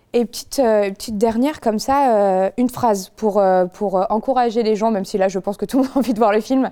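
Her voice is dark and mellow, medium in pitch, with ordinary pitch variation, as this woman speaks at a fairly quick pace. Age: 20s. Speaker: podcast host. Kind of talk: casual chat. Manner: animated.

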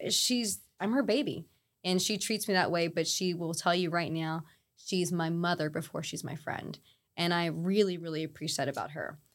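A woman with an unremarkable speaking voice, fairly low in pitch, at a moderate pace with ordinary pitch variation on a very clean recording with a silent background. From mixed: Saudi Arabia and Texas, Puerto Rican parents. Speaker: chiropractor. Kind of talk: interview.

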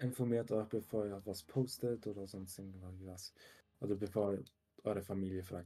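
A man at fairly low pitch, fairly even in intonation and fairly quick in pace. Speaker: podcast co-host, works in tech. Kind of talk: casual chat.

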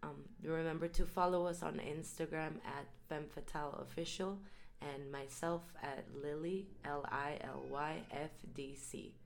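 With audible room echo, a woman speaks at a fairly low pitch, her intonation fairly even. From Mexico. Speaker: choreographer and dancer.

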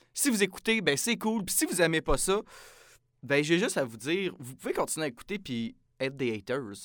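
In an unremarkable speaking voice, a man talks at a fairly quick pace with a fairly high pitch and lively intonation on a very clean recording with a silent background. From Quebec, Saint-Jean-sur-Richelieu near Montreal. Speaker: podcast host, student. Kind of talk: casual chat.

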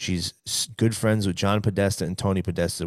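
A man with a fairly low-pitched voice, recorded very cleanly against a silent background. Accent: New York. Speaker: guest co-host from another podcast. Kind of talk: casual chat. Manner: animated.

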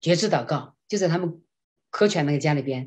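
The delivery is animated, with lively intonation and a fairly quick pace. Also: woman. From China. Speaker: classical singer and voice professor. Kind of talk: interview testimony.

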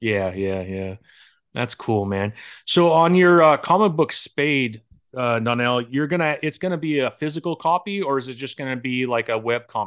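A man speaks at a moderate pace, with a medium pitch and lively intonation, against a quiet background. He has an unremarkable speaking voice. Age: 40s. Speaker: comic book interview host and indie comic creator. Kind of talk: casual interview chat.

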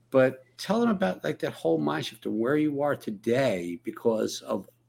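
A man at a moderate pace. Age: 60s. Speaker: live stream host, program coach. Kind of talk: casual interview. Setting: live video stream.

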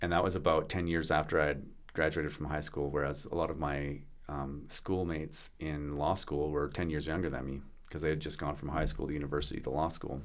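Over audible room echo, a man with a Canadian accent talks fairly quickly in a very deep, low voice with vocal fry and a flat, monotone delivery. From Canada, British Columbia (Vancouver Island). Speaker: business lawyer. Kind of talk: casual chat.

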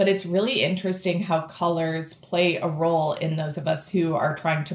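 A woman talks at a moderate pace in a fairly low, somewhat breathy voice. Her pitch variation is ordinary. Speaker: podcast host, education interviewer. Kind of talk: panel interview.

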